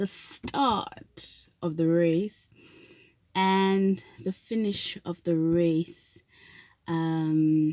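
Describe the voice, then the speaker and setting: At a very slow pace with long, frequent pauses, a woman speaks in a fairly low voice with a South African accent and ordinary pitch variation on a very clean recording with a silent background. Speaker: vlogger. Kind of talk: casual vlog talk. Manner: hesitant, many fillers.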